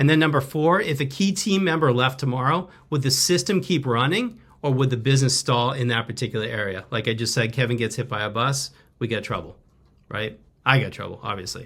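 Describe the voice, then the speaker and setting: Energetic in tone, a man talks at a fairly quick pace and medium pitch with lively intonation. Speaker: business consultant, company CEO. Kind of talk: webinar presentation. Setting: video call webinar. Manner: casual, energetic; fast.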